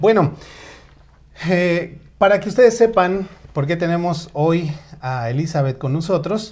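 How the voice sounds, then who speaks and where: A man with a high voice speaks at a fairly slow pace with ordinary pitch variation. He leaves long, frequent pauses. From Mexico, State of Mexico. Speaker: online show host. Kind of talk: live talk show. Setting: Facebook live stream.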